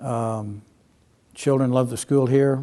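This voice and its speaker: A man speaks with an American accent at a medium pitch and a moderate pace. His tone is dark and mellow, and his intonation is monotone and flat. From Texas and Kansas. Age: 70s. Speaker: retired real estate agent and photographer. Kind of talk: oral history interview. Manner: halting, many fillers.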